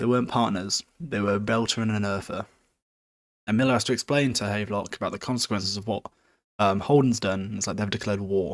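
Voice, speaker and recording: A man's fairly low voice with a British accent, very fast and fairly even in intonation, on a very clean recording with a silent background. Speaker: podcast host. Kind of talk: casual book recap. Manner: informal, joking.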